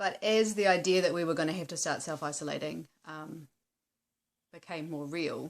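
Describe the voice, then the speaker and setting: With a New Zealand accent, a woman speaks at a fairly low pitch and fairly even intonation, leaving long, frequent pauses. Her loudness swings widely on a very clean recording with a silent background. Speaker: vlogger on wellbeing in activism. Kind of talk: casual talk to camera. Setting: at home on couch. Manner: hesitant, many fillers.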